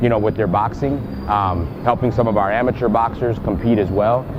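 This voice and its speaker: There is noticeable background noise as a man talks at a fairly quick pace. His pitch is medium and his intonation fairly even. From Puerto Rico. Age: 40s. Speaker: ring announcer, boxing trainer. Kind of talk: interview answer.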